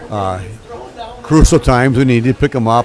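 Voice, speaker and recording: With noticeable noise in the background, a man speaks at a moderate pace and a medium pitch. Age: 60s. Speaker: bowling commentator. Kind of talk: live commentary. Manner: casual, conversational.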